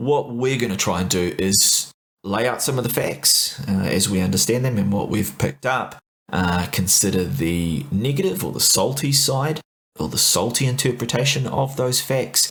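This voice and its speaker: Speaking at a moderate pace, a man uses a medium pitch. His intonation is lively. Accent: New Zealand. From New Zealand. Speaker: podcast co-host. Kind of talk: casual discussion podcast. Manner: mellow.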